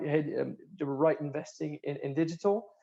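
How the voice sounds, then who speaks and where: A man's fairly high voice with a dark, mellow tone, at a moderate pace. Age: 30s. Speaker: startup founder. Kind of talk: panel discussion. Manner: halting.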